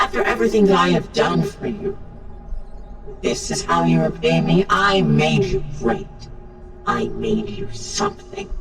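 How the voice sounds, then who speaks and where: Over loud background noise, a woman does a put-on character voice at a moderate pace, with long, frequent pauses. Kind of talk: ASMR roleplay. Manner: angry, accusing.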